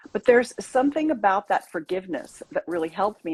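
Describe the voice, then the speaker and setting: A woman's somewhat breathy, fairly high voice with very wide pitch swings, at a moderate pace, in a dry, close recording with no echo. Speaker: intimacy coach and author. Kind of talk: interview about personal trauma healing.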